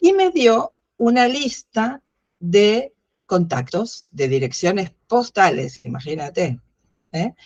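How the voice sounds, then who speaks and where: At a very slow pace, a woman of medium pitch speaks with very wide pitch swings and a somewhat breathy voice, the sound dry and close with no echo. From Argentina. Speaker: philosophy educator. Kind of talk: interview. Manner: halting, many fillers.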